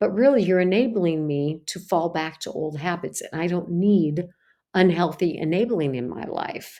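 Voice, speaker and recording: Against a quiet background, a woman speaks at a moderate pace with a fairly low pitch and a dark, mellow tone. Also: ordinary pitch variation. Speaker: psychologist in bariatric medicine. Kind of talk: health coaching talk.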